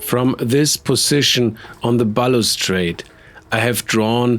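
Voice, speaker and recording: Speaking very slowly in a Bavarian accent, a man keeps a medium pitch with ordinary pitch variation. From Germany, Bavaria (Munich). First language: German. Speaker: artist. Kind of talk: art tutorial narration.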